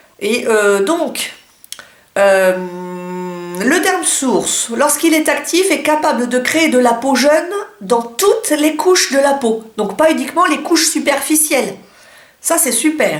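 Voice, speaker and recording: A woman speaks in a high voice with lively intonation, at a very slow pace. Her long pauses come often, and background noise is noticeable. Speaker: beauty vlogger. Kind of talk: casual talk to camera.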